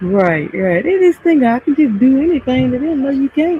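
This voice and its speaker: A soft-spoken woman talks at a moderate pace with very wide pitch swings. Noticeable background noise is present. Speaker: live streamer. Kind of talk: casual chat.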